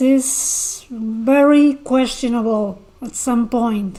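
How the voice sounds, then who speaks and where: Through noticeable background noise, a woman speaks at a high pitch with fairly even intonation. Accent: Argentine. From Argentina. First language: Spanish. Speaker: YouTube commentator. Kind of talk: livestream commentary reading chat. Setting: livestream. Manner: halting, repeats words.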